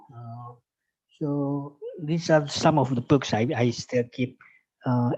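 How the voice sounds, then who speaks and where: A man speaks at a very slow pace. His pitch is fairly high and his intonation fairly even. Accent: Indonesian. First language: Indonesian. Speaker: lecturer. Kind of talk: lecture. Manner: halting.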